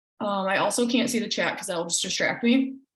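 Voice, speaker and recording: A woman's voice, with ordinary pitch variation, rings with audible room echo. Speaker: team coach. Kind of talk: team call presentation.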